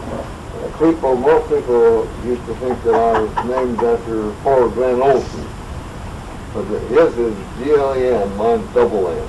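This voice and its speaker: Noticeable background noise and audible room echo surround a man who talks at a medium pitch, a fairly slow pace and a fairly even intonation. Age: 80s+. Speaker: local old-timer storyteller. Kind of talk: oral history storytelling. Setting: group gathering in a private home.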